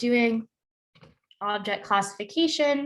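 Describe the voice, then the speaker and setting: Here is a plain, everyday voice from a woman, fairly high in pitch with ordinary pitch variation. She speaks at a fairly slow pace on a very clean recording with a silent background. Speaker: lecturer. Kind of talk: lecture.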